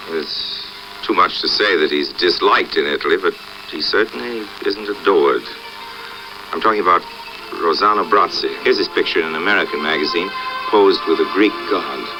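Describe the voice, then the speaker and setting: With music in the background, a man speaks at a fairly quick pace in a relaxed tone, leaving long, frequent pauses. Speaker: actor and filmmaker. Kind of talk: documentary narration to camera. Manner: relaxed, wry.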